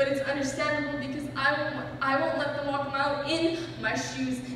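A man talks at a fairly quick pace amid strong room echo. Light background noise is present. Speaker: slam poet. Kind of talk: slam poetry performance. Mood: earnest, emotional. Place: hall.

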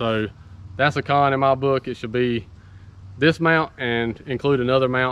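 This man speaks at a medium pitch with a fairly bright tone that is clear and smooth.

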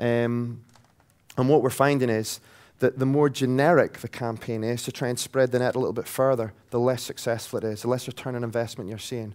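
A man in a Scottish accent talks at a fairly quick pace and medium pitch with monotone, flat intonation, in a very clean recording with a silent background. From Scotland. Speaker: technology company sales director. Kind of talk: conference presentation. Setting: stage with audience.

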